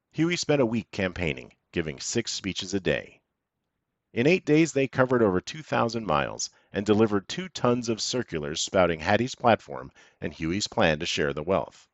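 A man with a fairly low pitch and vocal fry talks in an amused tone, his pitch swinging very widely. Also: moderate pace. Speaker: podcast narrator. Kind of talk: scripted history podcast narration. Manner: measured, polished storytelling with wry, dryly amused asides.

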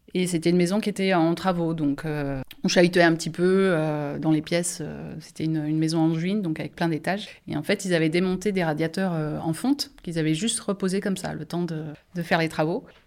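Using a plain, everyday voice, a woman talks at a fairly quick pace and fairly low pitch with fairly even intonation. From France, Angers. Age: 40s. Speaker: nurse. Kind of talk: casual chat.

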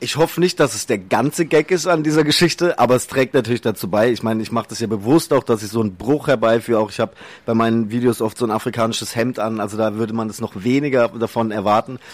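The man's pitch varies in an ordinary way. He talks very fast. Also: medium pitch for a man. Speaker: social media comedian. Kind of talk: interview. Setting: studio.

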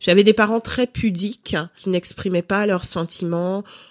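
In an unremarkable speaking voice, a woman talks at a fairly slow pace and medium pitch with ordinary pitch variation. The recording is very clean, with a silent background and a dry, close sound with no echo. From Cameroon, raised in France from age five. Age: 30s. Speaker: lifestyle blogger and mother. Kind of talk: interview.

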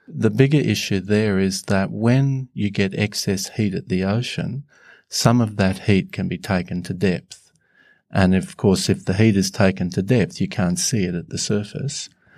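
A man speaks at a moderate pace and a fairly low pitch. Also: ordinary pitch variation, very clean recording, silent background. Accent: Australian. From Northern Australia. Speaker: climate scientist. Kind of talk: panel discussion.

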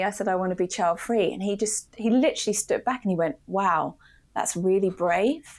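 A woman with a British accent speaks at a medium pitch and a fairly quick pace, with ordinary pitch variation, on a very clean recording with a silent background. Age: 40s. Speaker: creative agency founder and entrepreneur. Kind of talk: casual interview chat.

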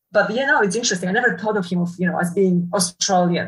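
The speaker talks at a very fast pace, somewhat breathy, with fairly even intonation. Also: woman. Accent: Polish. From Poland. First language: Polish. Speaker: university professor. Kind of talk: casual interview. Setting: video call. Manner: halting, many fillers.

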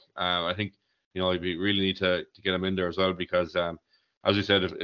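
A man speaks with an Irish accent. His very deep, low voice moves at a very fast pace. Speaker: hurling pundit. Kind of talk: casual sports chat.

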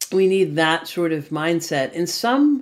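A woman speaks fairly slowly in a fairly low register, with an ordinary speaking voice. The recording is very clean, with a silent background. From US, Boston. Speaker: future of work strategist and author. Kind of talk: interview.

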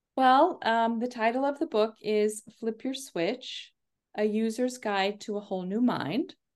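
A woman with an unremarkable speaking voice, fairly high pitch and ordinary pitch variation against a quiet background. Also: fairly slow pace. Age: 50s. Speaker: leadership coach. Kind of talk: interview.

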